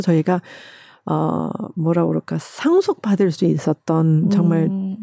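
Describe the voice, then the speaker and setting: A woman's fairly low, dark and mellow voice moves at a very slow pace, dry and close with no echo, in a very clean recording with a silent background. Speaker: ballet company director and former ballerina. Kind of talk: interview.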